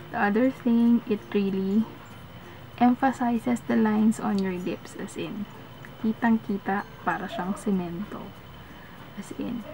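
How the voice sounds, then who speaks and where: Soft-spoken and medium in pitch, a woman talks at a very slow pace with long, frequent pauses over noticeable background noise. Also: ordinary pitch variation. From Philippines. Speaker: beauty vlogger. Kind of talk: product review. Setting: at home at night.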